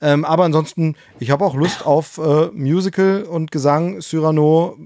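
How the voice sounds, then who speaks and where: A man's fairly high-pitched voice, dark and mellow in tone, at a moderate pace with fairly even intonation, on a very clean recording with a silent background. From East Germany. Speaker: podcast co-host. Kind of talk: casual chat.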